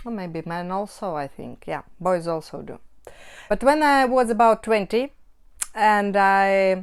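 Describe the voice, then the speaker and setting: In a very clean recording with a silent background, a woman speaks with a Russian accent. She goes fairly slowly, with lively intonation and big swings in loudness. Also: medium pitch for a woman. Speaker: cross-stitch hobbyist vlogger. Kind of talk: casual vlog talk. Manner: halting, with self-corrections.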